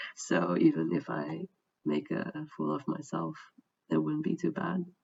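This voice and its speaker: The speaker has a Dutch accent and a fairly slow pace. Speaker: vlogger. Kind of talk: personal testimony. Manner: hesitant, many fillers.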